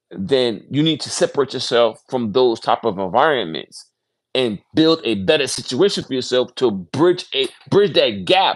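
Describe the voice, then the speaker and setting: Against a quiet background, a man speaks at a medium pitch and a moderate pace. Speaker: livestream host reading a book aloud. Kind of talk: casual livestream talk. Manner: halting, stumbling.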